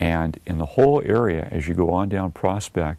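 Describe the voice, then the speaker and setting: A man with a dark, mellow tone speaks at a fairly slow pace on a very clean recording with a silent background. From Southern California, Redondo Beach. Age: 60s. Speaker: local resident interviewee. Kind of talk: oral history interview. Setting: recorded video interview. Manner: hesitant, many fillers.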